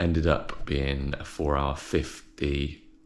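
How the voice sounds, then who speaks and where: Very deep and low in pitch, a man speaks with an English accent in a monotone, flat intonation. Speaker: fitness vlogger and amateur triathlete. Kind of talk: casual vlog. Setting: at home early morning.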